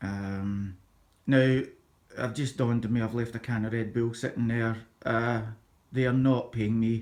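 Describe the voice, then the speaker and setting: Moderate-paced speech from a man with a Scottish accent at medium pitch. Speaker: YouTuber, PC hobbyist. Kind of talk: casual vlog chat. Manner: halting, many fillers.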